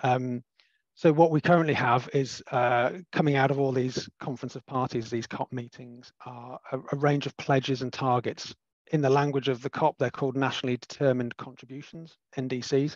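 In a quiet background, a man speaks with monotone, flat intonation, the recording dry with no echo. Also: moderate pace. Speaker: webinar host, sustainability consultant. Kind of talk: webinar moderation. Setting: video call. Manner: hesitant, many fillers. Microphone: video call.

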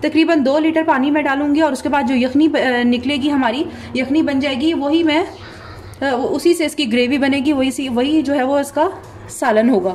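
A woman's high-pitched voice, fairly slow and fairly even in intonation, over light background noise. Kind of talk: cooking tutorial. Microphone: phone near.

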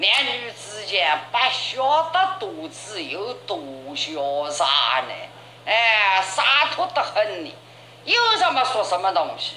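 Over noticeable background noise, a woman with a Jiangsu accent speaks at a very slow pace in a fairly high pitch, with very wide pitch swings and big swings in loudness. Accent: Yangzhou dialect. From Yangzhou. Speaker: traditional storyteller. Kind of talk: traditional oral storytelling performance. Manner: expressive, full of tone and cadence.

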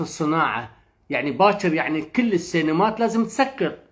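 A man speaks in an animated tone, his pitch swinging very widely. The background is quiet. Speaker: film talk show host. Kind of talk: live stream discussion. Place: home room. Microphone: phone near.

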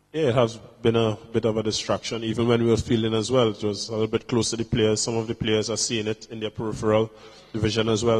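Talking at a very fast pace, a man keeps a monotone, flat intonation. The background is quiet. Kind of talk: interview answer. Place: hall. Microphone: handheld.

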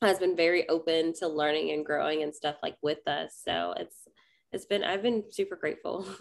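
The speaker talks at a moderate pace with fairly even intonation and vocal fry. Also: woman, fairly low pitch for a woman. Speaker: podcast guest, witch and parent. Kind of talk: interview answer. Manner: casual, frequent 'like'.

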